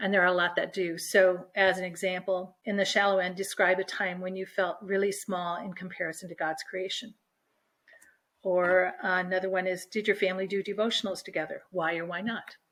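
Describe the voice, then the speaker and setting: A woman's voice at medium pitch, with monotone, flat intonation. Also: fairly quick pace, very clean recording, silent background. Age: 60s. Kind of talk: interview.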